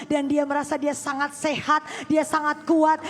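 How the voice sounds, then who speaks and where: A woman speaks in an animated tone at a fairly quick pace. Noticeable background noise runs behind her. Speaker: pastor. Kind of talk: sermon. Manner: loud.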